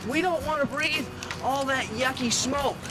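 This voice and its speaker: Against noticeable background noise, a man speaks in a raised, projected voice at an extremely high pitch. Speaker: firefighter. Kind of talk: demonstration for kids. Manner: animated; loud through face mask.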